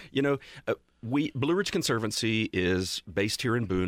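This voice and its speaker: In a normal speaking voice, a man with an American accent talks at a fairly quick pace with ordinary pitch variation, on a very clean recording with a silent background and a dry, close sound with no echo. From Western North Carolina. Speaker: nonprofit land conservation staffer. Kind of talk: interview. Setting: studio.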